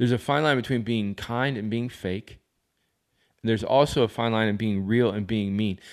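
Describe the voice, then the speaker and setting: A man at medium pitch and moderate pace, with fairly even intonation and a quiet background. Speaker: pastor. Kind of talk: sermon. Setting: alone in his office. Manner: halting, many fillers.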